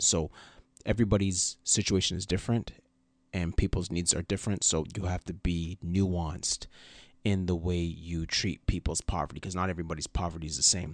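A man speaks at a very deep, low pitch with fairly even intonation. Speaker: podcast co-host. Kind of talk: casual conversation. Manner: halting, filler words.

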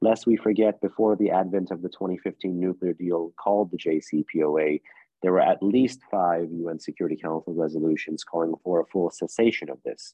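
A man with a very deep, low pitch talks with hardly any pauses. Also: fairly even intonation, moderate pace. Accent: New York. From US, New York City. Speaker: think tank policy analyst. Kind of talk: interview.

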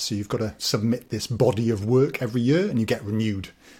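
A man's dark, mellow tone on a very clean recording with a silent background. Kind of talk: casual interview chat. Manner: friendly, laughs often.

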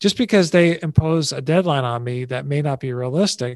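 This man has an ordinary speaking voice, fairly high in pitch, with ordinary pitch variation and a fairly quick pace. The sound is dry and close with no echo, over a quiet background. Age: 60s. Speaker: advertising veteran and stress-free living speaker. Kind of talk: interview conversation.

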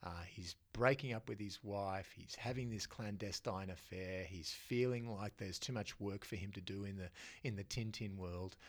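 A man speaks at a moderate pace with a fairly low pitch, fairly even intonation and hardly any pauses, on a very clean recording with a silent background. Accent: Australian. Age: 50s. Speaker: comics storyteller and lecturer. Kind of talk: casual interview.

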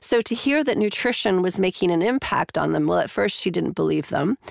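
Vocal fry runs through this woman's speech. She talks at a fairly quick pace. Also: dry, close sound with no echo. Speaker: clinical psychologist and professor. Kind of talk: interview, explanatory. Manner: hesitant, many fillers.

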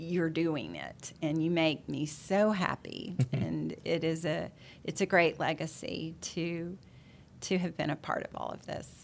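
Speaking at a fairly slow pace, a woman uses vocal fry and fairly even intonation. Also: fairly low pitch for a woman. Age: 60s. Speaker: real estate association president, managing broker. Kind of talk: interview.

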